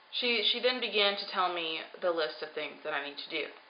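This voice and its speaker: Noticeable background noise surrounds a woman with a fairly low pitch. She keeps a moderate pace and ordinary pitch variation. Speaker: vlogger on weight loss surgery journey. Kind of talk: personal video diary.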